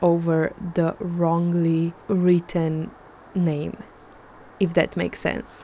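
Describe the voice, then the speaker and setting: Speaking at a very slow pace, a woman has a non-native accent. Her pitch is fairly low. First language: not English. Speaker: artist. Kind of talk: art vlog narration.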